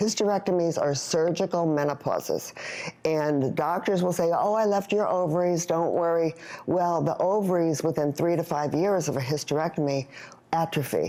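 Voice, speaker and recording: A woman's fairly low voice at a moderate pace, fairly even in intonation and very even in loudness, over noticeable background noise. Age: 60s. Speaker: hormone health product founder. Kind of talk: tv talk show interview.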